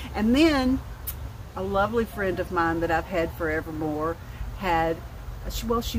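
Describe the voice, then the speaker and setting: Over noticeable background noise, a woman with a Southern US accent talks with lively intonation in a fairly low pitch. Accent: southern drawl. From North Alabama. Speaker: vlogger. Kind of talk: casual chat. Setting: outdoors.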